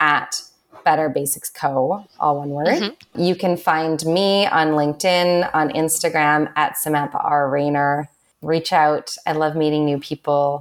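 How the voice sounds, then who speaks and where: A woman speaks at a fairly slow pace in a very deep, low pitch. Her intonation stays fairly even. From Canada, Vancouver. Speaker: entrepreneur. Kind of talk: casual chat.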